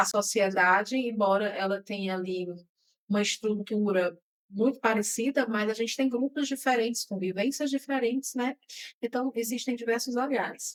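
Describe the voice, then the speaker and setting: Her voice fairly high in pitch with ordinary variation, a woman speaks at a moderate pace in an unremarkable speaking voice. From Brazil, Ceará sertão (Quixadá). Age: 40s. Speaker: podcast host. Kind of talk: interview podcast conversation.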